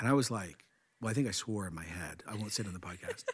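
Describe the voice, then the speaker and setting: A man speaks very fast with a Canadian accent, his pitch medium and its variation ordinary. The recording is very clean, with a silent background. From Canada. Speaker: senior pastor and podcast host. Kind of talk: casual chat.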